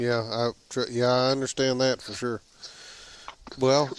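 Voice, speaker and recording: Against noticeable background noise, a man with a Southern US accent talks at a moderate pace and medium pitch. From Alabama. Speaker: podcast host. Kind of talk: casual interview chat.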